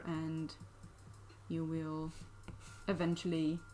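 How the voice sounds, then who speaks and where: A woman with a non-native accent and a fairly low pitch. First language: not English. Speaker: digital artist streamer. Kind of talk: live stream drawing tutorial chat. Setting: live stream with chat. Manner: casual, many fillers and hesitations.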